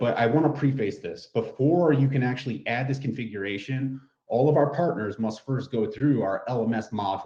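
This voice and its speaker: At a fairly quick pace, a man with a medium pitch and a dark, mellow tone speaks with ordinary pitch variation. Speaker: product trainer. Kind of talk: webinar tutorial. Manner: fast; casual.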